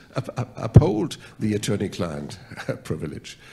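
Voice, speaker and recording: A man with a German accent speaks at a fairly slow pace. His fairly low voice has a dark, mellow tone and vocal fry. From Germany. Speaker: mediator. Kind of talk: mock mediation role-play. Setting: stage with audience.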